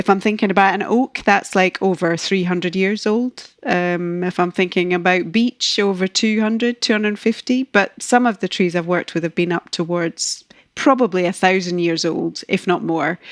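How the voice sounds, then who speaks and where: In a Scottish accent, a woman talks at medium pitch and a moderate pace with ordinary pitch variation and hardly any pauses, the sound dry and close with no echo on a very clean recording with a silent background. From Scotland. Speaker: ecologist. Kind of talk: podcast interview.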